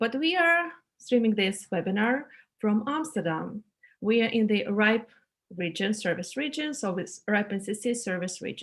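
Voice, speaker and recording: Somewhat breathy, a woman speaks at a fairly high pitch with lively intonation and a moderate pace. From Ukraine. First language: non-English (Ukrainian or Russian). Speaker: technical trainer. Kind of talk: online training presentation. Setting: video call webinar.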